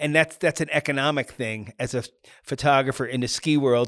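A man with an American accent talks at a fairly quick pace in an ordinary speaking voice, with medium pitch and ordinary pitch variation. The sound is dry and close with no echo, and the recording is very clean with a silent background. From US Northeast, New York suburbs. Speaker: ski photographer. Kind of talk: casual interview.

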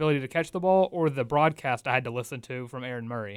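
A man's fairly high voice with ordinary pitch variation, at a fairly quick pace, on a very clean recording with a silent background. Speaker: college radio sports host. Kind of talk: sports talk radio. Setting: studio. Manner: fast talker.

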